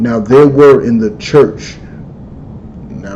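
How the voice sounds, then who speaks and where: A man speaks at a medium pitch with lively intonation, with audible room echo and noticeable background noise. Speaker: religious teacher. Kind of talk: lecture. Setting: livestream.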